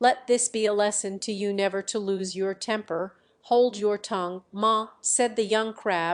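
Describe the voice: The speaker does plain reading aloud with fairly even intonation.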